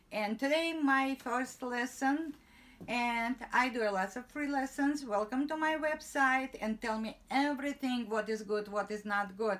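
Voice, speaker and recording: Fairly slow female speech, high in pitch, with ordinary variation in that pitch. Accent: non-native. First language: not English. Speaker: tailor and sewing teacher. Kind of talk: tutorial. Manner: halting broken English.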